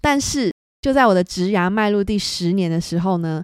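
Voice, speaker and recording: Recorded very cleanly against a silent background, a woman with a Taiwanese accent speaks at medium pitch in a dry, close sound with no echo. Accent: Taiwanese Mandarin. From Taiwan, Hsinchu. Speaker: podcast host, photographer. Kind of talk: solo podcast monologue.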